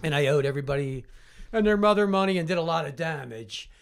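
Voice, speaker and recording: A man with a Philadelphia accent speaks very fast at a fairly high pitch. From Southwest Philadelphia. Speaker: addiction recovery counselor. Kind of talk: casual interview.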